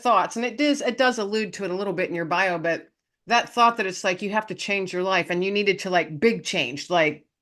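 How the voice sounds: Ordinary pitch variation runs through a natural reading voice over a quiet background.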